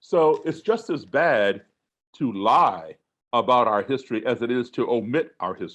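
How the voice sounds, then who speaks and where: At a fairly slow pace, a man uses a plain, everyday voice of medium pitch with lively intonation. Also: quiet background. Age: 60s. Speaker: musician and race relations speaker. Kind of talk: webinar talk.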